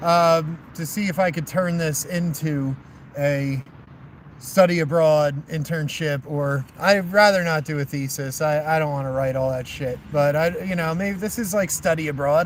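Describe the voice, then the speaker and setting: Speech at a moderate pace with ordinary pitch variation. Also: man. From New Jersey. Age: 30s. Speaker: long-distance walker vlogger. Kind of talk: casual vlog chat to live viewers. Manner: rambling with many fillers.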